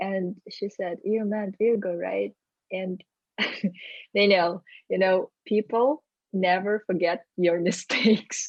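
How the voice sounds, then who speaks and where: A woman with a strong non-native accent talks at a very slow pace, with long, frequent pauses and fairly even intonation at a medium pitch. The sound is dry and close, with no echo. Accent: strong foreign. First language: not English. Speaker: sales executive. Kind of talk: interview conversation. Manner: hesitant, many fillers.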